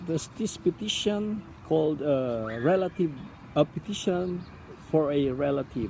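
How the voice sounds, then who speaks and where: Speaking at a fairly slow pace, the voice comes with a Filipino accent. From Philippines (Palawan). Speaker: immigrant interviewee. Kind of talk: interview. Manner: halting, many fillers.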